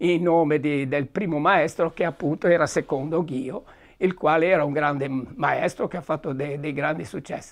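Moderate-paced male speech over a quiet backdrop. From Genoa, Liguria (Sestri Ponente); Liguria. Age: 80s+. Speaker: local historian; guest. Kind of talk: storytelling. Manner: halting. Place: studio.

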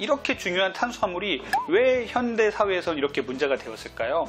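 A man talks at a fairly quick pace, with clear music playing in the background. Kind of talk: health explainer to camera. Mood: earnest, explanatory. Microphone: lapel.

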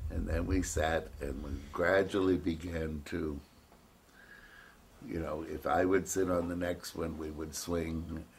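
Light background noise sits behind a man's voice with a very deep, low pitch and vocal fry. He talks at a very slow pace. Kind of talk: interview answer. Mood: reflective, with light laughs. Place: home room.

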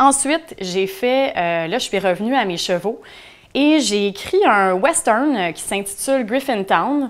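The speech moves at a fairly slow pace. Its intonation is lively. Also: woman, quiet background. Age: 30s. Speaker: author. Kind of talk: self-presentation monologue. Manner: hesitant with many fillers. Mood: calm, reflective. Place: office.

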